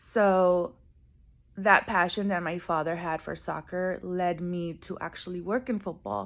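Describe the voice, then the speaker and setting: In a Spanish accent, a woman speaks fairly slowly at a fairly low pitch with fairly even intonation, on a very clean recording with a silent background. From US, born in Guatemala, moved at age five. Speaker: coffee farmer and former soccer media worker. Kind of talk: personal video monologue. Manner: casual with fillers.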